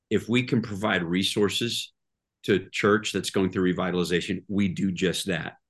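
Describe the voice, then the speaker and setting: Here a man with an American accent talks at a moderate pace. His pitch is fairly low, his intonation fairly even, and the background quiet. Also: very even loudness. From Oklahoma, Tulsa. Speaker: pastor. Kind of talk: interview conversation.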